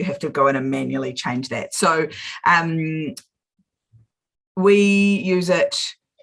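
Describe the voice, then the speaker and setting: A woman with a New Zealand accent speaks at a fairly slow pace. Her pitch is very deep and low, and her intonation is lively. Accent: Kiwi. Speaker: small business coach. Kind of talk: live video chat.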